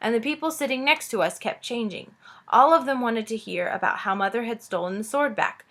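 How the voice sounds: Just a natural reading voice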